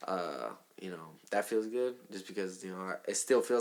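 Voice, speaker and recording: Talking at a moderate pace, a man with a Southern California accent holds a fairly low pitch and fairly even intonation. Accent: Southern California urban English. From Southern California (Hawthorne). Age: 20s. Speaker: rapper. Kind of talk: casual chat.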